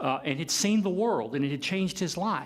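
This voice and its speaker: A man with an American accent, lively intonation and a moderate pace, with audible room echo. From US South, Kentucky (Paducah). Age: 50s. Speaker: professor. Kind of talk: lecture. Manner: halting.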